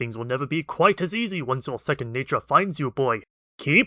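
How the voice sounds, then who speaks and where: Putting on a character voice, a man talks at a fairly quick pace in a fairly high pitch. His intonation is lively. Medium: read story. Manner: hearty, good-humored.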